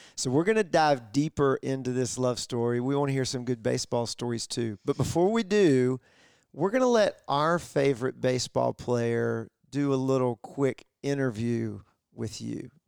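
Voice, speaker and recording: In a very clean recording with a silent background and a dry, close sound with no echo, a man speaks at a moderate pace and medium pitch with ordinary pitch variation and an unremarkable speaking voice. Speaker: podcast co-host. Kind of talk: casual interview. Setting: guests' living room.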